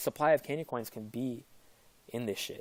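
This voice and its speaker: A man's voice with ordinary pitch variation. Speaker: crypto investment YouTuber. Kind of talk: casual video commentary. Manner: fast; hesitant, many fillers.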